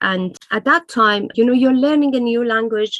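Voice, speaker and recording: A woman with a Persian accent, ordinary pitch variation and a dry, close sound with no echo. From Iran. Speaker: writer. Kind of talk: interview. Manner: hesitant, many fillers.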